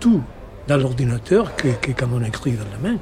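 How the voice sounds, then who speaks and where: A man's intonation is lively while noticeable background noise continues around him. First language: Spanish (speaking French). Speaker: novelist. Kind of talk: interview. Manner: halting.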